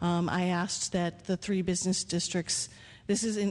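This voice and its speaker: A woman is speaking. Her intonation stays monotone and flat. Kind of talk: public comment at a meeting. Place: hall. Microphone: podium.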